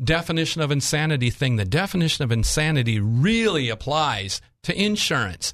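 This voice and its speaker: Somewhat breathy speech at a moderate pace swings very widely in pitch over a quiet background. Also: man. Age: 60s. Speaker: insurance agent. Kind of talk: casual chat.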